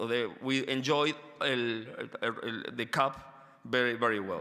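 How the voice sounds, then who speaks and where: A man with a non-native accent talks in a bright, sharp tone. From Argentina. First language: Spanish. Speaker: education researcher. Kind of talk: conference lecture. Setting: stage with audience. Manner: halting, many fillers; reading from paper.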